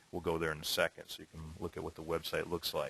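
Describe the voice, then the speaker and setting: Against a quiet background, a man's bright, sharp tone comes through dry and close, with no echo. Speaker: exam prep instructor. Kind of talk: tutorial. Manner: fast.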